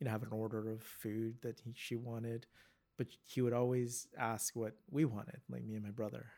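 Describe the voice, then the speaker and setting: A man talks with a Canadian accent. His intonation is fairly even and his pace moderate. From Vancouver, Canada. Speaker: physiotherapist and entrepreneur. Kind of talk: casual chat. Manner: halting.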